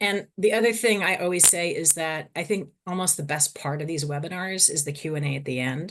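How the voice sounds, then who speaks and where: Against a quiet background, a woman with a Boston accent and a very deep, low pitch talks at a fairly quick pace with ordinary pitch variation. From US Northeast (Boston). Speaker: psychologist and fertility researcher. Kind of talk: webinar lecture. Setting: online webinar. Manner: fast; hyper, energetic.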